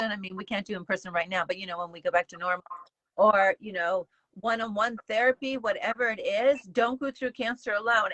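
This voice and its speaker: A woman's ordinary speaking voice, fairly high in pitch, fairly quick, with ordinary pitch variation and big swings in loudness. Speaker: cancer show host, colon cancer survivor. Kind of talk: interview host talk.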